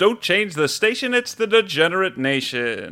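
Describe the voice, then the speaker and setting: A man with a high pitch and a bright, sharp tone speaks in a raised, projected voice with very wide pitch swings, in a very clean recording with a silent background. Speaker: podcast co-host. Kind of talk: casual banter.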